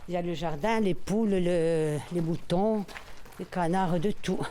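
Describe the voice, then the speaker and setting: Through audible room echo, a woman talks at a very slow pace with fairly even intonation. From Corsica, Bastia. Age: 60s. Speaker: longtime neighbourhood resident. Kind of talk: casual reminiscence on a guided walk. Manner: hesitant, many repetitions.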